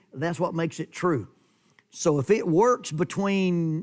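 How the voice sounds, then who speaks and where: In an American accent, a man with an ordinary speaking voice talks at a fairly high pitch and moderate pace over a very clean recording with a silent background. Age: 60s. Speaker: preacher. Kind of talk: sermon. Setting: church.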